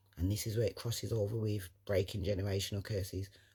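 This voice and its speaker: A man with a London accent talks at a very fast pace, his fairly low voice dark, mellow and somewhat breathy. The recording is very clean, with a silent background. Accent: London Multicultural English. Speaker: motivational vlogger. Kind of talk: motivational monologue. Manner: animated.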